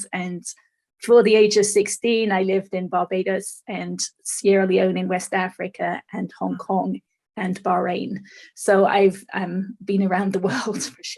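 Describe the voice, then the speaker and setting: A woman at a fairly slow pace, monotone and flat, with vocal fry. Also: medium pitch for a woman. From England. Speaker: author and speaker. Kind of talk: interview. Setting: podcast.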